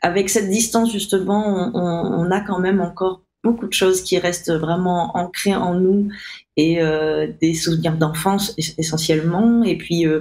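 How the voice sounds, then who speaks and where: Speaking at a fairly slow pace, a woman has a fairly low pitch, a dark, mellow tone and fairly even intonation. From Réunion (Saint-Benoît). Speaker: musician. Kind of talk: interview. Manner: halting, many fillers.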